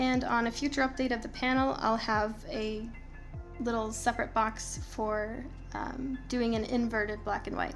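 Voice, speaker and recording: Music plays in the background as a woman speaks with a fairly high pitch. Her pace is fairly slow and her intonation fairly even. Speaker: photographer and retoucher. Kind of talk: screen-recorded software tutorial. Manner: casual.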